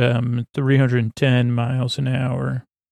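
Fairly even intonation marks a man speaking at a medium pitch. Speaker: sleep podcast host. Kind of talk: rambling bedtime storytelling. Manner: slow, lulling soothing tone; halting with stammers and filler words.

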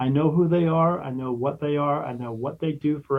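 This man has a plain, everyday voice, pitched fairly high. He talks at a fairly quick pace with fairly even intonation. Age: 50s. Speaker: spirit medium and podcast host. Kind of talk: casual interview.

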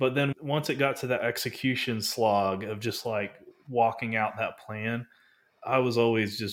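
Speaking with an American accent, a man uses an unremarkable speaking voice at a medium pitch, keeping a moderate pace and fairly even intonation. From North Texas. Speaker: business broker. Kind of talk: interview.

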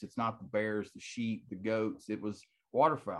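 A man at medium pitch with an American accent. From Texas. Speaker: retired military medic, waterfowl conservation group president. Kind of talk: casual interview chat. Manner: animated.

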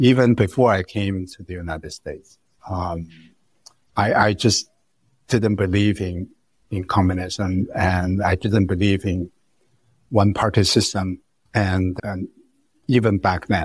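A man with a Chinese accent speaks in a very deep, low pitch, somewhat breathy and fairly slow, with long, frequent pauses, fairly even intonation and big swings in loudness, on a very clean recording with a silent background. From China. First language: Mandarin Chinese. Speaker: economics professor. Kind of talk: interview. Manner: halting, frequent repetitions.

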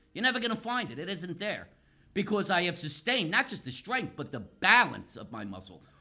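A man talks in a raised, projected voice at a fairly quick pace. His tone is bright and sharp, and his intonation is lively. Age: 60s. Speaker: pain specialist with physical therapy doctorate. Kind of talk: interview. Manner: animated.

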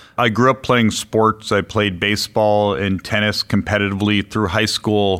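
Recorded very cleanly against a silent background, a man with an American accent speaks at a fairly low pitch and moderate pace, flat and monotone, at very even loudness, with hardly any pauses. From US Midwest (Chicago). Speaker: business executive. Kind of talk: interview.

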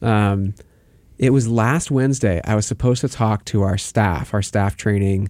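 A man with an unremarkable speaking voice talks at a moderate pace in a fairly low pitch, with very even loudness and ordinary pitch variation, on a very clean recording with a silent background. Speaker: faith mentor and co-host. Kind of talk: casual chat about faith.

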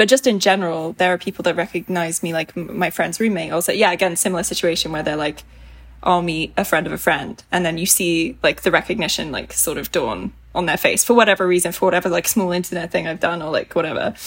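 A woman talks at a very fast pace with a British accent. Her fairly low voice has ordinary pitch variation. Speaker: YouTuber. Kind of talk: casual chat.

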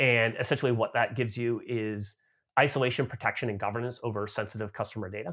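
Speaking at a very fast pace with a Canadian accent, a man with a medium-pitched voice comes through on a very clean recording with a silent background. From Canada. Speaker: tech company marketing executive. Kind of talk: interview.

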